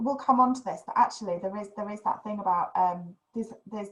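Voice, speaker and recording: A woman talks at a fairly quick pace, somewhat breathy. Her pitch sits in the medium range. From northern England, West Yorkshire (Huddersfield). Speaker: podcast host. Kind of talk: casual chat.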